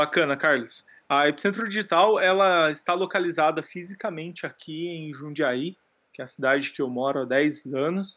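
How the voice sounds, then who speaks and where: A plain, everyday voice talks with ordinary pitch variation at a moderate pace. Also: man, fairly high pitch for a man. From rural Brazil. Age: 30s. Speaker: digital education entrepreneur. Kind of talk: podcast interview.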